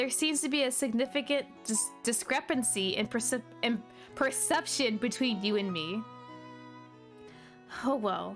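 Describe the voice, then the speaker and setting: Over music in the background, a woman talks at a moderate pace with a fairly high pitch and lively intonation. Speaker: VTuber. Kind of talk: reading game dialogue aloud. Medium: read story.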